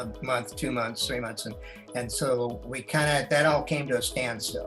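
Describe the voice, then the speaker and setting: A man talks at a moderate tempo over background music. His voice sits mid-range, with ordinary pitch variation. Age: 70s. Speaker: Navy veteran, retired. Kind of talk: interview answer. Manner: hesitant, conversational.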